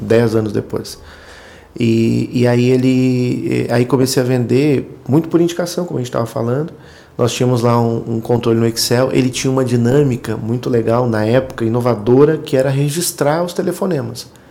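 Noticeable background noise can be heard. A man talks over it at a moderate pace. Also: medium pitch for a man, ordinary pitch variation. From rural Rio Grande do Sul, Brazil (German colony area). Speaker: sales manager at recycling software company. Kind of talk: casual interview. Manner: halting, repeats words.

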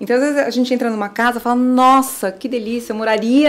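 The woman speaks at a high pitch with fairly even intonation. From São Paulo. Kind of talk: casual interview.

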